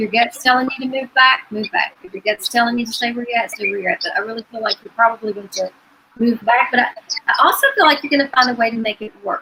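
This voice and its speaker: A woman with an Appalachian accent talks at a very fast pace in a high voice. Her loudness swings widely, and her pitch variation is ordinary. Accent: southern Appalachian US. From Virginia. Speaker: psychic medium. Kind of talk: live psychic reading.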